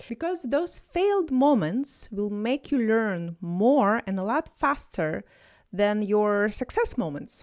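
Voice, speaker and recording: In a Russian accent, a woman speaks very slowly at a fairly high pitch with very wide pitch swings. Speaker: language tutor. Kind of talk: motivational talk to camera. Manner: animated.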